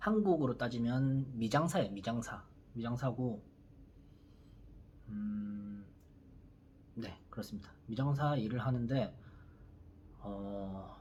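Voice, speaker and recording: The pace is very slow, with long, frequent pauses. The voice is somewhat breathy, with audible room echo. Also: man, medium pitch for a man, ordinary pitch variation. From South Korea, Busan. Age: 30s. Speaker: YouTuber, construction worker. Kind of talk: casual vlog monologue. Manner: hesitant, many fillers.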